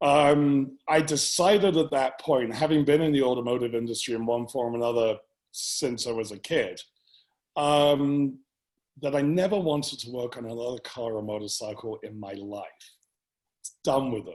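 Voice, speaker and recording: Speaking at a medium pitch, a man talks with an English accent. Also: ordinary pitch variation, moderate pace, big swings in loudness. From England. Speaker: business owner. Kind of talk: interview.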